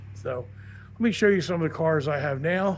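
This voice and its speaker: Somewhat breathy speech at a fairly quick pace, with ordinary pitch variation and audible room echo. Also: man. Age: 60s. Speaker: car hobbyist YouTuber. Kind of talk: casual monologue. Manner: halting, many fillers.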